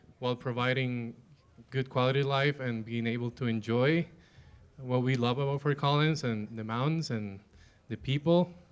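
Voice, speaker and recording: Pausing long and often, a man with a medium pitch talks at a moderate pace with fairly even intonation. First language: not English. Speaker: panelist. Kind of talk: panel discussion.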